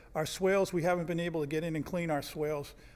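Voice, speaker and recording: Fairly even in intonation, a man's unremarkable speaking voice sits at a fairly high pitch. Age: 60s. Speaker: resident speaking at public comment. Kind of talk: public comment at city board meeting.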